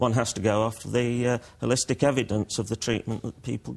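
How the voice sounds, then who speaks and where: His intonation fairly even and his pitch medium, a man speaks at a moderate pace. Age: 60s. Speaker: leukaemia patient. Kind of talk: TV news interview. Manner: halting, many filler sounds.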